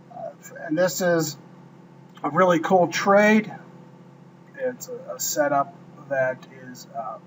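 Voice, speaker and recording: Very slow speech with long, frequent pauses, lively intonation and big swings in loudness, over noticeable background noise. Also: man, high pitch for a man. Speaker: trading mentor. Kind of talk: trade review tutorial.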